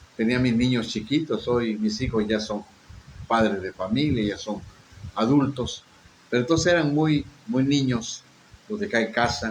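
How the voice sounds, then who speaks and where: A man with a somewhat breathy voice talks at a medium pitch and a fairly slow pace, with ordinary pitch variation. Long pauses come frequently. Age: 60s. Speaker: pastor. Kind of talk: sermon with personal testimony.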